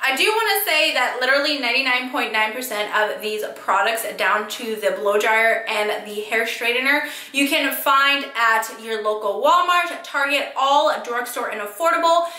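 Spoken in an American accent with lively intonation, the voice moves at a moderate pace with hardly any pauses and audible room echo. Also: woman, high pitch for a woman. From California. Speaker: beauty vlogger. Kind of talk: casual talk to camera. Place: home room.

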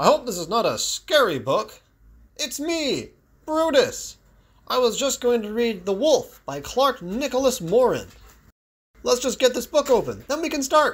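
In a very clean recording with a silent background, a put-on character voice at a fairly high pitch moves at a moderate pace with long, frequent pauses. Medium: read story.

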